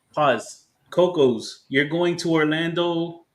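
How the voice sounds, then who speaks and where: Speaking at a very slow pace with an American accent, a man uses a fairly high pitch against audible room echo. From South Florida. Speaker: podcast co-host. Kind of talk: casual chat.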